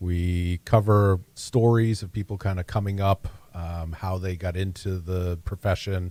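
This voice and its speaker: Recorded very cleanly with a silent background, the dry, close sound with no echo carries a man's very deep, low pitch, dark, mellow tone and monotone, flat intonation. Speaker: podcast host in tech. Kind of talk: casual chat.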